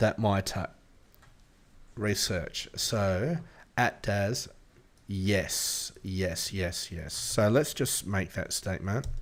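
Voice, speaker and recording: With an Australian accent, the speaker goes very slowly with long, frequent pauses, on a very clean recording with a silent background. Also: man, fairly low pitch for a man, ordinary pitch variation. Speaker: AI app developer and tech YouTuber. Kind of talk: tutorial. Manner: casual, thinking aloud with fillers.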